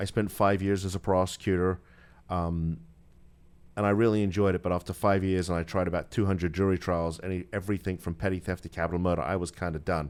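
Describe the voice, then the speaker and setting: A man with a British accent speaks at a very fast pace in a very deep, low voice and monotone, flat intonation, on a very clean recording with a silent background. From United Kingdom. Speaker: attorney. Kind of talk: radio interview. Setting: studio.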